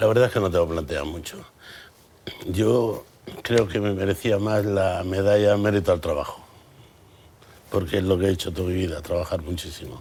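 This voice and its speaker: With long, frequent pauses, a man speaks at a fairly quick pace in a very deep, low pitch and fairly even intonation. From Andalusia, Campo de Gibraltar, Cádiz. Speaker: businessman. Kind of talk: TV interview. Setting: TV studio.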